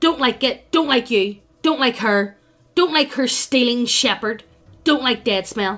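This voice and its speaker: A woman in a put-on character voice speaks at a high pitch with very even loudness. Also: moderate pace. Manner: hostile, blunt.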